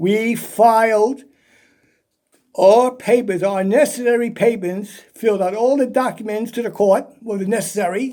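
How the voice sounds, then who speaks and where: Intonation stays fairly even as a man speaks in a high voice. His pace is fairly slow. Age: 70s. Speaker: army veteran and merchant seaman. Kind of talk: personal grievance monologue. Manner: repetitive, emphatic.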